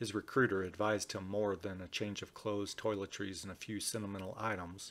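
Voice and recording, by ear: In a natural voice, the speaker reads a text aloud.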